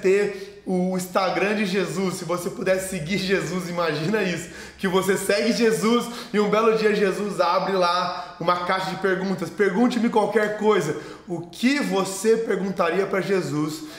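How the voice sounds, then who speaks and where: A man's high-pitched voice at a fairly slow pace with fairly even intonation, plus noticeable background noise and audible room echo. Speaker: pastor. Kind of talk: sermon. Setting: online video sermon.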